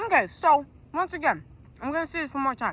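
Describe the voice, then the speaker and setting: Projecting a raised voice with a bright, sharp tone, a woman with an American accent speaks at a moderate pace. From South Carolina. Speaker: vlogger. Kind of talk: casual vlog monologue. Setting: outdoors. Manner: loud; animated.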